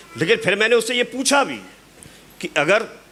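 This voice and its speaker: Against noticeable background noise, a man uses a raised, projected voice at a moderate pace. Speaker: motivational speaker at business event. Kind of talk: motivational talk.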